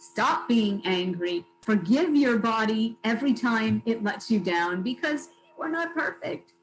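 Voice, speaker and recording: Speaking at a fairly slow pace, a woman with a fairly high pitch makes very wide pitch swings, with noticeable background noise behind her. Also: hardly any pauses. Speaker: motivational speaker. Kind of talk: keynote talk. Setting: video call.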